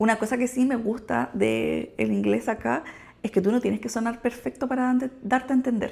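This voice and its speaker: On a very clean recording with a silent background, a woman with a Chilean accent speaks at a moderate pace, her somewhat breathy voice fairly high in pitch with a dark, mellow tone and fairly even intonation. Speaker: nurse and vlogger. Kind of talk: casual vlog talk. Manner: casual, conversational.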